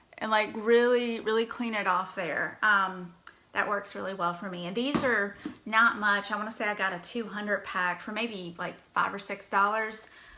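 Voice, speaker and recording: A woman in a strong Virginia accent, fairly high-pitched, with a bright, sharp tone, fairly even intonation and audible room echo. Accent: Southern US (Virginia), strong. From US South, Danville, Virginia. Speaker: makeup brand ambassador, livestream host. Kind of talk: casual livestream tutorial. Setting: live video stream.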